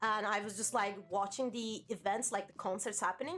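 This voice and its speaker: Music plays in the background as a woman talks at a moderate pace. Her fairly high voice keeps a fairly even intonation. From Turkey. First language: Turkish. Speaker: VTuber streamer. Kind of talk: casual live stream chat. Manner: casual, filler-heavy.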